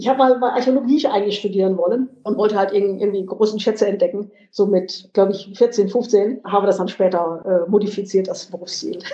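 Hardly pausing at all, a woman speaks at a fairly quick pace and a medium pitch. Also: ordinary pitch variation. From western Germany, Lower Rhine. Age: 50s. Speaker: politician. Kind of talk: interview. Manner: halting, many fillers.

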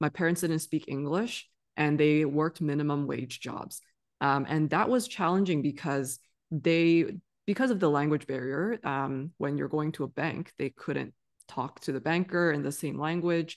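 Very deep, low pitch from a woman, ordinary pitch movement, moderate pace. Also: quiet background. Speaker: physician and financial literacy educator. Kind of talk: casual interview conversation.

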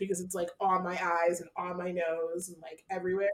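Noticeable background noise sits behind a woman's voice. She speaks in an animated tone at a fairly quick pace. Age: 30s. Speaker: podcast co-host. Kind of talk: casual chat.

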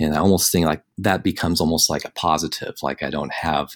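In a very clean recording with a silent background, a man with a very deep, low voice talks at a fairly quick pace with fairly even intonation. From San Diego, California. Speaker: fantasy football analyst and teacher. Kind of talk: casual interview. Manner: halting, many fillers.

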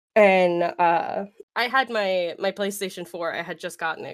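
On a very clean recording with a silent background, a woman talks at a fairly slow pace. Hers is an ordinary speaking voice. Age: 20s. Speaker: streamer. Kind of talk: casual interview chat.

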